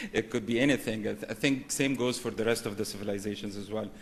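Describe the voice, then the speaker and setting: A man with an Arabic accent speaks at a medium pitch with ordinary pitch variation. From Egypt. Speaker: banking executive, conference speaker. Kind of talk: conference presentation.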